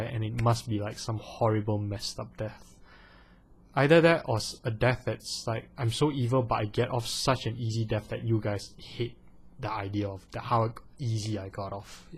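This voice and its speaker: On a very clean recording with a silent background, a man of medium pitch speaks at a moderate pace in a somewhat breathy voice. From Malaysia. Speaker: vlogger. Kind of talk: casual vlog Q&A. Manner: animated; hesitant, many fillers.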